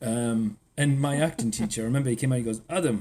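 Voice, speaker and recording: The talk comes at a very fast pace in a northeast English accent. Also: man. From northeast England. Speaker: AI consultant. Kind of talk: casual chat.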